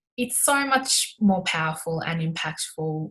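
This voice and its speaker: A woman speaks in an Australian accent. Her pitch is fairly low. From Melbourne, Australia. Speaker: sports inclusion advocate and broadcaster. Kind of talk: interview answer.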